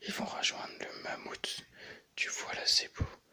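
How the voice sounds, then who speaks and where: A fairly slow whisper. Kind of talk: comic book read aloud. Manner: soft-spoken.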